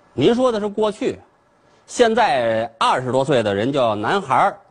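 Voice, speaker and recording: A man's somewhat breathy voice, fairly slow, with very wide pitch swings. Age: 40s. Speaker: comedian. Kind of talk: stand-up.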